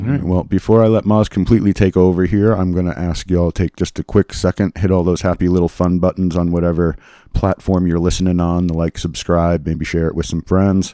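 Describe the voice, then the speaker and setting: A man with an American accent speaks at a fairly quick pace with hardly any pauses, very deep, low pitch, a dark, mellow tone and fairly even intonation. The recording is very clean, with a silent background and a dry, close sound with no echo. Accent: Boston accent comes back at times. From Massachusetts. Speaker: podcast host. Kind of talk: casual chat.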